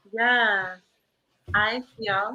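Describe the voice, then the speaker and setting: A loud, fairly high woman's voice with a bright, sharp tone. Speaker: writing workshop co-facilitator. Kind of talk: casual chat. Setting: live stream.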